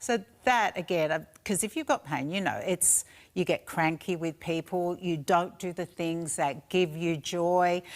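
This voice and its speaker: On a very clean recording with a silent background, a woman speaks with an Australian accent. Her pitch is fairly low and her pace fairly slow. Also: ordinary pitch variation. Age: 60s. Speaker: shopping channel presenter. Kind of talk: sales pitch.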